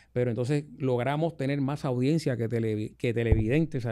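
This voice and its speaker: In a quiet setting, a man talks fairly fast, his intonation fairly even. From Puerto Rico, Ponce; Puerto Rico. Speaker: radio host. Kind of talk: casual chat. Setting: studio. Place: studio. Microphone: studio mic.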